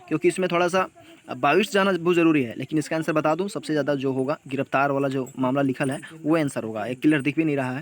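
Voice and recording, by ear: A man's fairly high voice at a fast pace, with ordinary pitch variation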